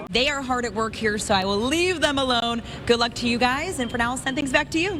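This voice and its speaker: Talking very fast over noticeable background noise, a woman with an American accent speaks at a high pitch. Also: ordinary pitch variation. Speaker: TV news reporter. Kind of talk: live shot in the field.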